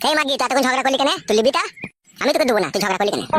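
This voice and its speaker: A man's cartoonish character voice at an extremely high pitch, very fast pace and lively intonation. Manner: coarse, rough, insulting.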